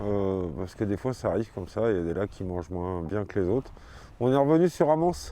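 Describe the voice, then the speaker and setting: A man's dark, mellow tone carries lively intonation at a moderate pace. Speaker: fishing video host. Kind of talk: outdoor vlog commentary.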